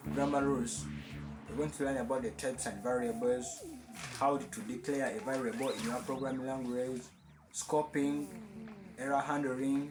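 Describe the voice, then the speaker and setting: A man speaks at a medium pitch with ordinary pitch variation. Audible room echo and noticeable background noise are present. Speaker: programming channel host. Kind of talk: tutorial overview. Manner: fast.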